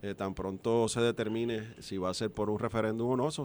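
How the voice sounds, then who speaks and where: A normal speaking voice from a man, medium in pitch and fairly quick, on a very clean recording with a silent background. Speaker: political commentator. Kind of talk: political analysis.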